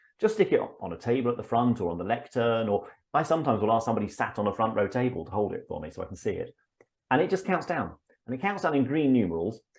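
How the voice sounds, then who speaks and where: Very fast speech from a man with an English accent, medium in pitch, with very wide pitch swings. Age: 50s. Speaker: public speaking coach. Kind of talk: interview. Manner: halting.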